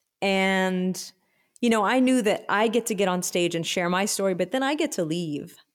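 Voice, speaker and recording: On a very clean recording with a silent background, a woman with an American accent uses an ordinary speaking voice at a moderate pace, medium pitch and very even loudness, with ordinary pitch variation. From Texas, Austin. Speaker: musician. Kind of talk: casual chat.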